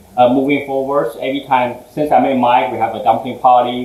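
Background noise is noticeable and the room echo can be heard. The man's delivery moves at a moderate pace. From Taiwan, moved to Houston at 15. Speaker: food business owner, former engineer. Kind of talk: interview chat.

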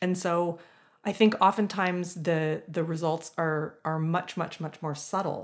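On a very clean recording with a silent background, a woman speaks in a normal speaking voice at a fairly low pitch, at a fairly slow pace with fairly even intonation. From Southern Ontario, Canada. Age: 40s. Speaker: music professor. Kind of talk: interview.

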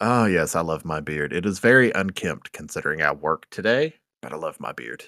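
Very deep and low in pitch yet bright and sharp in tone, a man talks at a fairly quick pace with lively intonation and vocal fry, recorded very cleanly and dry and close, with no echo against a silent background. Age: 20s. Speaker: podcaster. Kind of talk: casual chat.

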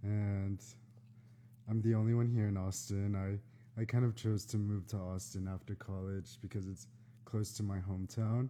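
Monotone and flat in intonation, a man with an American accent speaks at a moderate pace with a fairly low pitch and a dark, mellow tone. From Texas, San Antonio. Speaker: mental health recruiter and fashion blogger. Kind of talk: casual chat. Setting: live Instagram stream.

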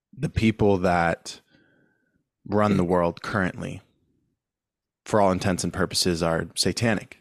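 Speaking at a fairly slow pace with long, frequent pauses, a man with a very deep, low pitch and an American accent keeps a fairly even intonation. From San Diego, California. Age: 30s. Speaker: online educator, wealth coach. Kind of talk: casual podcast conversation.

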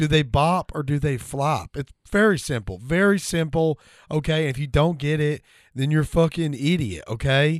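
In a plain, everyday voice, a man talks at a fairly high pitch with ordinary pitch variation over a quiet background. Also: moderate pace. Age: 30s. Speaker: podcast co-host and comedian. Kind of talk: casual chat.

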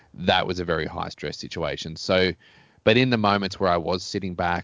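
Very deep and low, this man's voice has vocal fry and moves at a very fast pace. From Australia. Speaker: pilot and keynote speaker. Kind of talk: casual interview.

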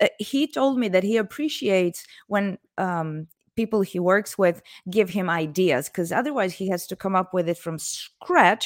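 A woman talks at a moderate pace with an Italian accent. Her intonation is lively. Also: medium pitch for a woman. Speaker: author. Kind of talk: casual interview chat. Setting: video call.

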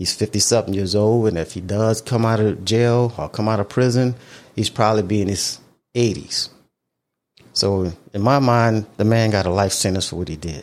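Here is a man with a plain, everyday voice and a fairly low pitch. His intonation is fairly even, his pace moderate, and the recording very clean with a silent background. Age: 50s. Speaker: podcast host. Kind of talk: solo monologue. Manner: casual, conversational.

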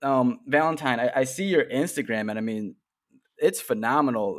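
Recorded very cleanly against a silent background, a man with a Chicago accent speaks with lively intonation. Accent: Chicago American. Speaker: podcast host. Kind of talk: casual interview chat.

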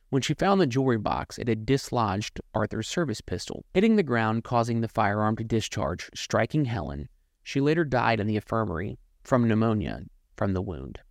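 In an unremarkable speaking voice, the speaker moves at a fairly quick pace with lively intonation, and the sound is dry and close with no echo. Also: man, medium pitch for a man. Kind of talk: true-crime narration; scripted intro then casual chat. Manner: measured, ominous storytelling.

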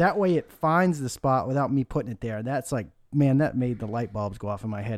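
Lively in intonation, a man with an unremarkable speaking voice talks at a fairly quick pace. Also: very clean recording, silent background. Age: 40s. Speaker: golf instructor. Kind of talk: casual instructional chat.

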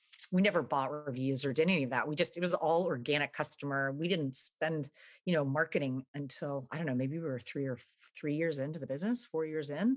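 Speech comes at a very fast pace with an American accent and ordinary pitch variation. The sound is dry and close, with no echo. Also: woman, very deep, low pitch for a woman. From Texas. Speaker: entrepreneur. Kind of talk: interview.

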